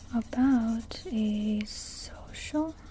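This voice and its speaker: A woman speaks over light background noise. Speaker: college student; retail worker. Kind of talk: ASMR study session, whispered talk to camera. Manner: whispered, soft-spoken. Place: home room. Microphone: earbuds.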